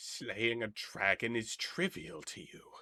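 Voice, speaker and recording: A man's put-on character voice, medium in pitch, at a fairly slow pace. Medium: actual play. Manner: regal, condescending.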